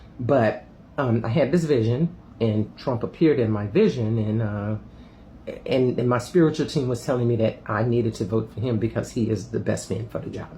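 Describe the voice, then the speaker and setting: Somewhat breathy, a man speaks in a dark, mellow tone with ordinary pitch variation. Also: medium pitch for a man, moderate pace. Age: 60s. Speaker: spiritual vlogger. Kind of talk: casual monologue video. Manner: halting, many fillers.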